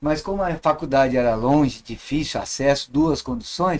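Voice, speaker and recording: A man with an ordinary speaking voice talks at a fairly high pitch and moderate pace. His pitch varies in an ordinary way. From São Paulo, Brazil. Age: 60s. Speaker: professor and witchcraft teacher. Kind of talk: podcast interview.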